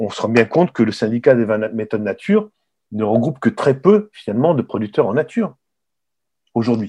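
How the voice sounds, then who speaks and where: A man's medium-pitched voice at a fairly quick pace, with lively intonation. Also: quiet background. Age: 60s. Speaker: retired wine journalist and author. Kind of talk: interview. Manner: halting, many repetitions.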